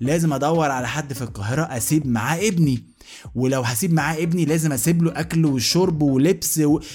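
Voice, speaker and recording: A man's fairly high, animated voice at a fairly quick pace, with music in the background. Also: ordinary pitch variation. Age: 30s. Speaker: podcast host. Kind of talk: casual comedic monologue.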